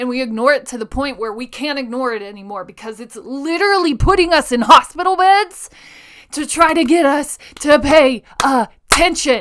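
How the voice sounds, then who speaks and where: In a very clean recording with a silent background, an animated voice moves at a moderate pace with very wide pitch swings. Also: woman. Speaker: podcast host. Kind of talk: motivational monologue. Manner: loud.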